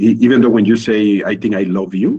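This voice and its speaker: A man's fairly low, dark, mellow voice with a Spanish accent and ordinary pitch variation. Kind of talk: casual group video call chat. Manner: halting, with repetitions.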